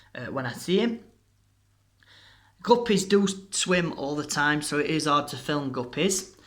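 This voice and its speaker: Lively intonation and a bright, sharp tone from a man, with audible room echo. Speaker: hobbyist fish keeper video maker. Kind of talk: casual tutorial narration. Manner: hesitant, many fillers.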